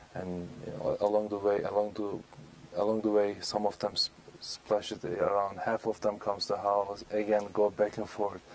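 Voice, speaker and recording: Over noticeable background noise, a man talks at a moderate pace in a fairly low voice with hardly any pauses. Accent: Turkish. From Turkey, Istanbul. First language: Turkish. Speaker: speaker on Islam, guest on local TV show. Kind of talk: interview. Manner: halting, many fillers.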